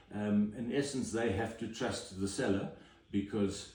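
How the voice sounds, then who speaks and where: Audible room echo carries a man's somewhat breathy voice, dark and mellow in tone, at a fairly low pitch and moderate pace. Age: 60s. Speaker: home inspector. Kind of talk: interview. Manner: hesitant, many fillers.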